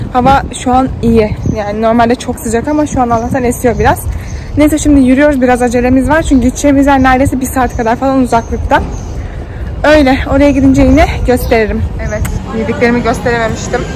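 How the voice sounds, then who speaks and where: A woman's high-pitched voice at a fairly quick pace, with fairly even intonation, over noticeable background noise. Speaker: vlogger. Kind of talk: casual vlog chat. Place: street. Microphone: phone near.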